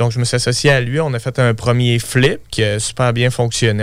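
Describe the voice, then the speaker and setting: A man with an unremarkable speaking voice talks at a fairly quick pace, his medium pitch held in fairly even intonation. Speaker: real estate investor. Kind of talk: interview.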